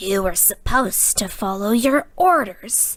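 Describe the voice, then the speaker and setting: Quiet and growling, a woman does a put-on character voice at a fairly high pitch and fairly slow pace, with very wide pitch swings, on a very clean recording with a silent background. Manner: deathly quiet, menacing.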